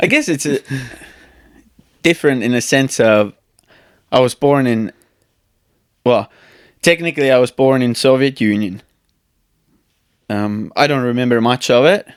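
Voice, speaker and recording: A man with an Estonian accent talks at a medium pitch and moderate pace, with ordinary pitch variation and long, frequent pauses, in a dry, close sound with no echo. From Estonia, countryside. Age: 30s. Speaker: speed flyer and YouTube creator. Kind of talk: casual podcast interview.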